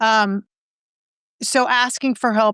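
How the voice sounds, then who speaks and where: A woman with a normal speaking voice and a fairly high pitch talks with fairly even intonation, in a dry, close sound with no echo and a very clean recording with a silent background. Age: 60s. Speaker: personal growth coach. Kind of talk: podcast interview.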